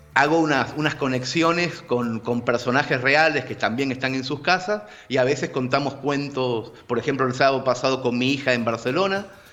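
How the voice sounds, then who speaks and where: A moderate pace over music in the background. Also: man. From Argentina, living in Barcelona. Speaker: writer and storyteller. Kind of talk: casual video-call interview answer.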